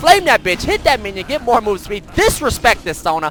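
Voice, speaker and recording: The tone is animated, with very wide pitch swings. Noticeable background noise runs underneath. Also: man. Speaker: gaming streamer. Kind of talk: gameplay commentary. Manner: fast.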